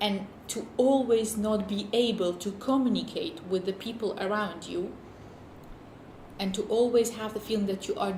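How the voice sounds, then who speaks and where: Woman with a non-native accent, medium pitch and moderate pace, audible room echo and noticeable background noise. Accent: noticeable foreign. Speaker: documentary interviewee. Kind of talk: interview testimony. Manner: halting.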